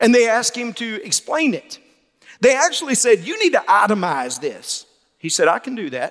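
Here a man speaks at a moderate pace with a Southern US accent. His loudness swings a lot. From Mississippi. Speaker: Baptist pastor, convention president. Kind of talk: sermon.

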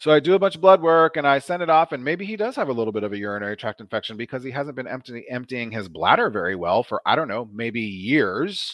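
A man with an American accent talks very fast, with hardly any pauses, in an animated tone. His medium pitch swings very widely. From US Midwest, Omaha, Nebraska. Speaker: nurse practitioner. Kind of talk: interview.

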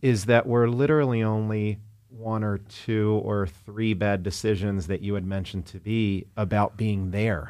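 A plain, everyday voice talks at a moderate pace. Its intonation stays fairly even. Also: man, fairly low pitch for a man. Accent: American. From US, New Jersey near Atlantic City. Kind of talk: casual interview chat. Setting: studio.

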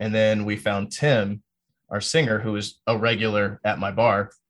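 An unremarkable speaking voice from a man with an American accent, fairly low pitch, fairly even intonation and moderate pace, quiet background. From North Carolina (Fort Bragg, Fayetteville area). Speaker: metal band drummer. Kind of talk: casual interview chat.

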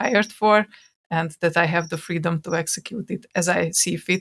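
On a very clean recording with a silent background, the speaker talks fairly slowly with a Hungarian accent. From Hungary. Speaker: podcast co-host and software developer. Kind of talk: casual chat. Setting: recording from home.

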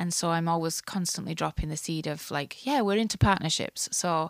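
A woman with an Irish accent, fairly low in pitch, at a moderate pace on a very clean recording with a silent background. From Ireland. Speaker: church shelter ministry director. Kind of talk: podcast interview.

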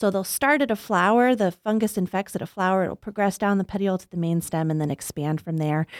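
In an American accent, a woman talks at a fairly quick pace in an ordinary speaking voice, medium in pitch with ordinary pitch variation, in a dry, close sound with no echo. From US South, Arkansas. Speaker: plant pathologist, professor. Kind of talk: interview. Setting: studio.

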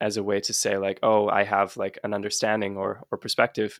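A man speaks at a moderate pace in a fairly low pitch. The sound is dry and close with no echo, and the recording is very clean with a silent background. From British Columbia, Canada. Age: 20s. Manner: loud.

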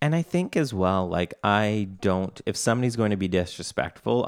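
At a moderate pace, a man with a Canadian accent is heard in a very clean recording with a silent background and a dry, close sound with no echo. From Canada. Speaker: podcast co-host, software co-founder. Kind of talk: casual chat.

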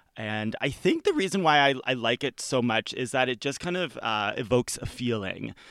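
A man with a plain, everyday voice, medium in pitch, with lively intonation at a moderate pace, hardly any pauses, and a dry, close sound with no echo on a very clean recording with a silent background. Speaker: guest, friend of the host. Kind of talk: casual chat.

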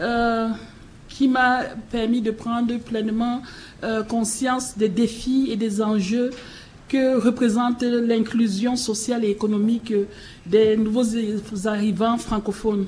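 In a room with audible echo, a woman speaks at a very slow pace and a fairly high pitch with monotone, flat intonation. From Cameroon. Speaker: keynote speaker, head of an immigrant integration nonprofit. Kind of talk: conference speech and panel discussion. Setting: public forum at city hall, broadcast live on radio.

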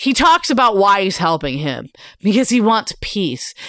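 In a very clean recording with a silent background, a woman speaks at medium pitch and a moderate pace with an animated, bright, sharp tone, vocal fry and very wide pitch swings. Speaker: podcast co-host. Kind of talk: casual chat. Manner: animated, laughs often, swears.

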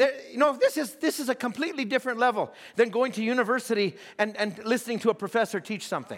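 Loud and animated, a man talks at a fairly quick pace with an extremely high pitch and ordinary pitch variation. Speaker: pastor. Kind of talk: sermon.

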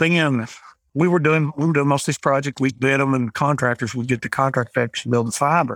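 A man with an Appalachian accent, fairly high in pitch, at a moderate pace in a dry, close sound with no echo. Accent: Appalachian US Southern. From Eastern Kentucky (Appalachia). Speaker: rural telecom cooperative CEO. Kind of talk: podcast interview.

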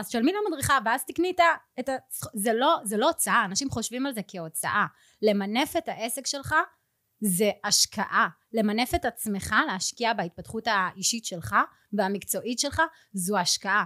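Bright and sharp in tone, a woman talks with lively intonation at a fairly high pitch. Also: moderate pace. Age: 30s. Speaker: pilates studio owner. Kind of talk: interview.

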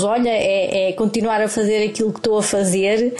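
A woman's fairly high voice at a moderate pace, over noticeable background noise. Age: 50s. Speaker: therapist. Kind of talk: recorded testimony. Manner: halting.

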